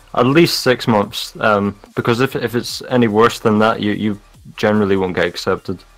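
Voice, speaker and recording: Over music in the background, a man with a Scottish accent talks at a fairly quick pace, his fairly low pitch held in fairly even intonation. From Scotland. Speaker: game community moderator. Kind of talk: live stream chat.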